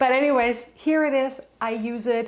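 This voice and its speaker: Speaking at a fairly slow pace is a woman. She has a slight German accent. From Germany. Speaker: homesteading lifestyle vlogger. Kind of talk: casual tutorial.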